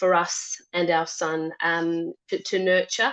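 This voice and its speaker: A woman with a medium-pitched voice speaks in an Australian accent. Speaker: parent. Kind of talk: panel discussion. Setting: online webinar. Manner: hesitant, many fillers.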